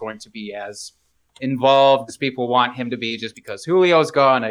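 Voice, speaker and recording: Lively intonation and a bright, sharp tone mark a man speaking at a moderate pace. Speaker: fantasy football podcast co-host. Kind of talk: casual chat. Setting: recording while drinking beer.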